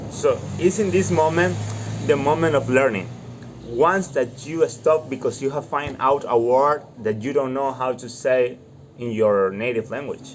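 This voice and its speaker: At a fairly slow pace, a man speaks in a medium pitch with ordinary variation. Noticeable background noise sits behind him. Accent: Latin American. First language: Spanish. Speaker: student vlogger. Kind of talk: reading aloud with live translation.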